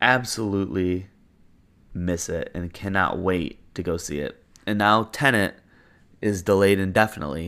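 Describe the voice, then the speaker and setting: With a very deep, low pitch and a bright, sharp tone, a man speaks at a moderate pace with ordinary pitch variation and long, frequent pauses in a very clean recording with a silent background. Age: 20s. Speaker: podcast host. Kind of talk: solo casual commentary. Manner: casual with many filler ums.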